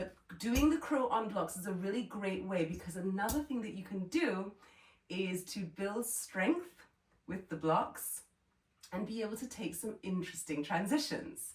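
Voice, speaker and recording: A somewhat breathy woman talks at a moderate pace with a medium pitch and lively intonation. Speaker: yoga teacher. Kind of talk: workshop instruction.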